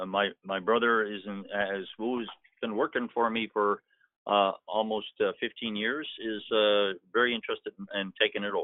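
At a moderate pace, a man uses a normal speaking voice with a medium pitch and fairly even intonation. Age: 60s. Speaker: scrap metal business owner. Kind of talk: phone consultation.

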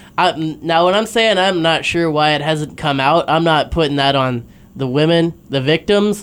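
Here is a man with a plain, everyday voice and a fairly high pitch. His pitch variation is ordinary, and his pace is moderate. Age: 20s. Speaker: sports podcast co-host. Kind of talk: casual chat. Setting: studio.

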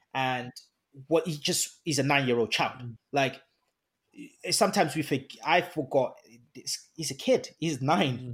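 Somewhat breathy, the voice proceeds at a fairly slow pace with long, frequent pauses. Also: man, fairly high pitch for a man, ordinary pitch variation. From Nigeria, Ibadan. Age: 20s. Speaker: podcast co-host, charity volunteer. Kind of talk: casual chat.

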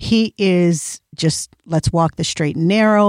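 In a very clean recording with a silent background and a dry, close sound with no echo, a woman has an unremarkable speaking voice at a fairly low pitch with ordinary pitch variation. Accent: American. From Iowa. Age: 50s. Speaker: podcast co-host, author and entrepreneur. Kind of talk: casual chat.

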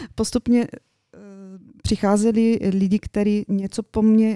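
A woman's dark, mellow tone at medium pitch, very slow pace, dry and close with no echo. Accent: Bulgarian. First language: Bulgarian (speaking Czech). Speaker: interior designer. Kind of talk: radio interview.

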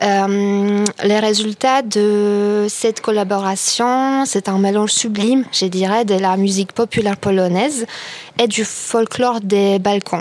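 A woman in a Polish accent, very slow, medium-pitched, with fairly even intonation, very even loudness and noticeable background noise. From Poland. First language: Polish (speaking French). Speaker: radio panelist. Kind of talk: casual chat.

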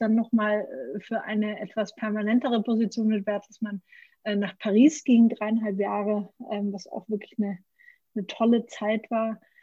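A woman with a fairly high pitch speaks in a dark, mellow, somewhat breathy tone. Her intonation is monotone and flat. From Franconia, Germany. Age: 30s. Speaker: brewery founder. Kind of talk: interview. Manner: many filler sounds.

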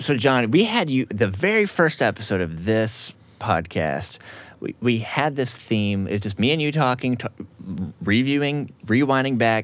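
A man with an ordinary speaking voice talks with lively intonation. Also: medium pitch for a man, fairly slow pace. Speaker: podcast host. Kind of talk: podcast host interview.

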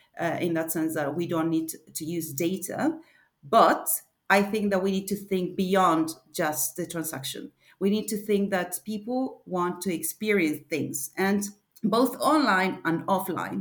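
A woman with a Spanish accent talks at a medium pitch. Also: ordinary pitch variation, fairly slow pace, very clean recording, silent background. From Argentina. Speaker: e-commerce advisor. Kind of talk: interview. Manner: halting.

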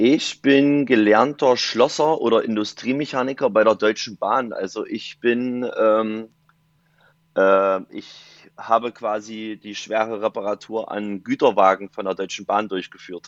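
In a plain, everyday voice, a man of medium pitch talks at a fairly slow pace with fairly even intonation and big swings in loudness. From eastern Germany, Saxony-Anhalt (Dessau). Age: 20s. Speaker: event and festival photographer. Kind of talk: casual interview chat.

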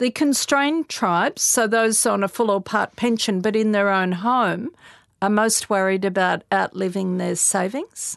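A normal speaking voice at a fairly slow pace, with ordinary pitch variation, over a quiet background in a dry, close sound with no echo. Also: woman, medium pitch for a woman. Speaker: podcast co-host and publisher. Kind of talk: casual chat.

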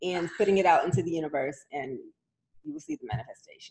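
A woman talks at a fairly quick pace in a normal speaking voice, her pitch medium. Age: 40s. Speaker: podcast co-host. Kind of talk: casual chat.

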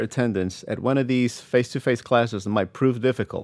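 Speaking at a fairly quick pace with a Spanish accent, a man is heard on a very clean recording with a silent background. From Puerto Rico. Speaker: language professor and army veteran. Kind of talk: keynote speech, prepared remarks. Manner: formal.

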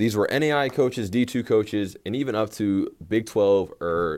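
In a very clean recording with a silent background, a man speaks at a moderate pace with an American accent. His is a plain, everyday voice with ordinary pitch variation. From Texas, Tyler. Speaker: college basketball coach, podcast host. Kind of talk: solo podcast monologue, personal story.

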